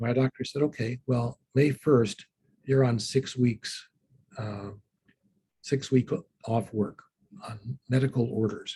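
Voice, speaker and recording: A man's somewhat breathy, dark, mellow voice at medium pitch, fairly slow in pace with fairly even intonation, in a dry, close sound with no echo. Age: 60s. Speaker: law professor and litigator. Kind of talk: interview on a panel. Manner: halting, many fillers.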